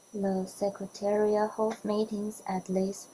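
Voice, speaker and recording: With a Chinese accent, a woman at a medium pitch speaks at a very slow pace over noticeable background noise. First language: Mandarin Chinese. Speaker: biodiversity data product manager. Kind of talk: prerecorded conference presentation. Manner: formal.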